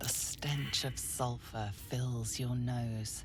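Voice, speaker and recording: Over loud background noise, a put-on character voice moves at a very slow pace in a low-to-middle pitch. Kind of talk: dark fantasy narration. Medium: video game.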